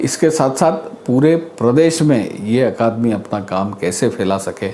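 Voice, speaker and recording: Lively intonation marks a man's speech, heard with audible room echo and noticeable background noise. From India, Madhya Pradesh. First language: Marathi (speaking Hindi). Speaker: arts academy official. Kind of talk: interview.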